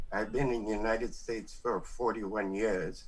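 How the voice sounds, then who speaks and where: The speaker keeps a moderate pace and fairly even intonation, with audible room echo. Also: man. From Belize. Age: 60s. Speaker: veteran singer. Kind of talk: radio interview. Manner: halting, many fillers.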